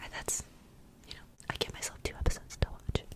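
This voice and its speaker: Noticeable background noise behind a whispering woman. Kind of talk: ASMR whispered ramble, casual talk to camera. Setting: close to microphone in home studio. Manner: soft whispered, rambly, cozy.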